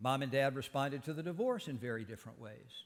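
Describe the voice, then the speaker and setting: On a very clean recording with a silent background, a fairly high-pitched man with a Southeast Texas accent talks at a fairly quick pace with ordinary pitch variation. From Texas, Beaumont (Southeast Texas). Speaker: speaker at a church service. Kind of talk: sermon.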